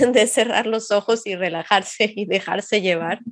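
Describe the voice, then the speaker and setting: In a normal speaking voice, a woman talks fairly slowly, her pitch varying in an ordinary way. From Mexico, Xalapa. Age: 20s. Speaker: psychology master's student, podcast co-host. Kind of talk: casual podcast conversation.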